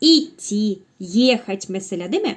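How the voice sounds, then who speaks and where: Her pitch swings very widely from high to low. The woman talks at a very slow pace. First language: Russian (speaking Turkish). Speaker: language teacher. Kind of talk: tutorial. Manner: halting.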